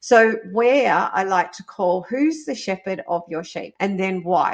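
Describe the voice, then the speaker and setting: A woman with a plain, everyday voice speaks fairly slowly at medium pitch, her intonation lively. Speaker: business podcast host. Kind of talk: solo podcast monologue.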